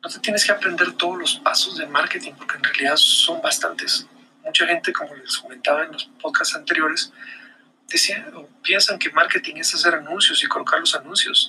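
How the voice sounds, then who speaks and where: Noticeable background noise sits behind a man speaking at a moderate pace. His loudness swings widely. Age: 40s. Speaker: marketing podcaster. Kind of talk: solo video monologue. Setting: recorded on camera. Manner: hesitant repetitions.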